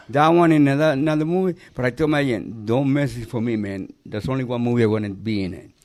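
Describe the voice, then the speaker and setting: A man speaks very fast with a Cuban accent and hardly any pauses. His pitch is medium and his intonation lively. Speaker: actor. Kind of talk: casual chat.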